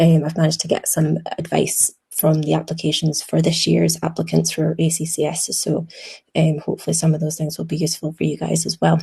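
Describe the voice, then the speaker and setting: A woman with a Scottish accent speaks at a fairly quick pace. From Scotland. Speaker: emergency medicine doctor. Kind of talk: webinar presentation. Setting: video call webinar. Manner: hesitant, many filler ums.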